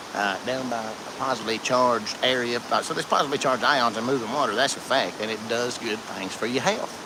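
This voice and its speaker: In an Appalachian accent, a man talks at a very fast pace with a medium pitch. Audible room echo and noticeable background noise are heard. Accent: Appalachian Southern US. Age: 40s. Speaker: outdoor live streamer. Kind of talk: casual live stream chat. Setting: outdoors by a creek.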